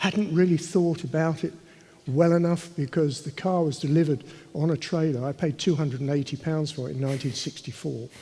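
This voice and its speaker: A man's dark, mellow voice in a southern English accent, fairly high-pitched and fairly quick, with fairly even intonation. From London, England. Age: 80s+. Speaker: racing driver. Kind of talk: panel discussion.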